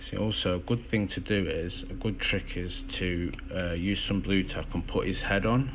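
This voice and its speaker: Over noticeable background noise and audible room echo, a man talks at a moderate pace with hardly any pauses. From English Midlands, Derby. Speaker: miniature hobbyist streamer. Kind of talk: tutorial. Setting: Instagram live stream. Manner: casual, hesitant with fillers.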